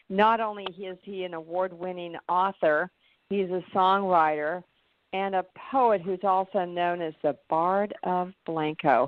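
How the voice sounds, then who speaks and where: Speaking in an unremarkable speaking voice, a woman holds a medium pitch and fairly even intonation. Her pace is fairly slow. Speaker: radio show host. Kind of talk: radio interview hosting.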